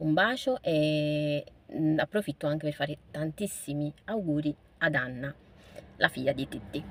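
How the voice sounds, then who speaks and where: A very deep, low female voice, recorded very cleanly against a silent background. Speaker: vlogger. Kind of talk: casual vlog monologue. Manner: fast; animated.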